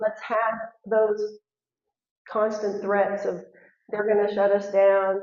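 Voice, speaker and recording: A woman with an American accent speaks at a fairly slow pace. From Texas. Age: 60s. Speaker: school board candidate. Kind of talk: candidate forum answer. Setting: high school forum with audience.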